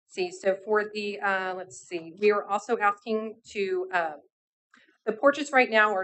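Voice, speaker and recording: A woman with an American accent, medium pitch and ordinary pitch variation. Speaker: applicant presenting to city board. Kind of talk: public meeting presentation. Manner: fast.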